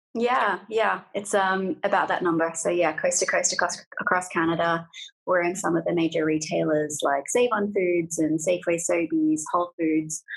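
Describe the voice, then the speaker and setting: A woman's fairly low voice keeps very even loudness and fairly even intonation. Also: moderate pace, hardly any pauses. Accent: Australian. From Australia. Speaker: food company founder. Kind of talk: interview.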